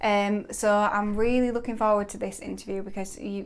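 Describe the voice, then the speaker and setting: Her intonation fairly even, a woman talks in an ordinary speaking voice. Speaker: podcast host. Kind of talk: podcast interview questions.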